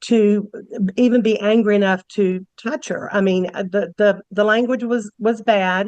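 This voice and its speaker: Recorded dry and close with no echo, a woman with a medium pitch and an ordinary speaking voice talks at a fairly slow pace with fairly even intonation. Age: 60s. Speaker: character witness. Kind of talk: court testimony.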